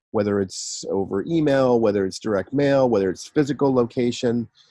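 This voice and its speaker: A man's medium-pitched voice, a normal speaking voice, at a moderate pace with ordinary pitch variation. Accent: American. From US West Coast, San Francisco Bay Area. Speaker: e-commerce entrepreneur. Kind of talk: interview, casual chat. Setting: video call.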